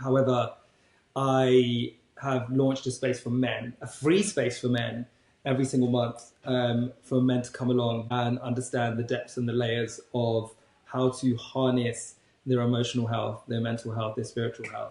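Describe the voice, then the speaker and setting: A man with a British accent speaks at a moderate pace. His intonation is monotone and flat. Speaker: podcast co-host and life coach. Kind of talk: casual chat.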